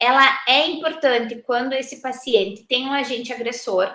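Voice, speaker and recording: High in pitch, a woman's bright, sharp voice keeps a moderate pace with ordinary pitch variation. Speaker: university lecturer in audiology. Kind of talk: recorded lecture.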